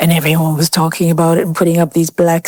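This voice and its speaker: The voice carries an Irish accent and a dark, mellow tone. Its sound is dry and close, with no echo. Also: woman. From Ireland. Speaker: interviewee on race in Ireland. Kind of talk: group conversation.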